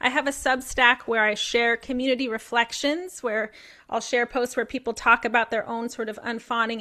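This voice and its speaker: In a very clean recording with a silent background, a woman with a fairly high pitch and a bright, sharp tone speaks at a moderate pace. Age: 50s. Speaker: clinical psychologist and author. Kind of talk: Q&A discussion.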